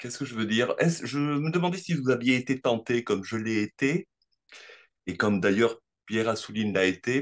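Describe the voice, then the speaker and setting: Against a quiet background, a man with a medium-pitched voice speaks at a moderate pace with lively intonation. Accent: Spanish. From Morocco (Tangier). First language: Spanish (speaking French). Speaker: audience member asking a question. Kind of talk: question in an online Q&A. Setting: video call. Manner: halting.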